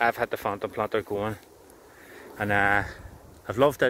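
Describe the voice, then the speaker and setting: A man is speaking. He has a Belfast accent. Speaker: tree planter and content creator. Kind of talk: casual vlog monologue. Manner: fast when excited.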